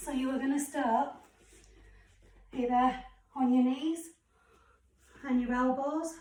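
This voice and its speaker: In a British accent, a woman speaks at a very slow pace and a high pitch. Room echo is audible. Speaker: fitness instructor. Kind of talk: workout instruction.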